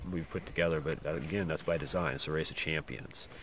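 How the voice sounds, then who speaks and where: A man with a very deep, low pitch, over noticeable background noise. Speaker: race organizer giving live updates. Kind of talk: outdoor live update report. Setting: outdoors in backcountry. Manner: quiet, hushed; hesitant, many fillers.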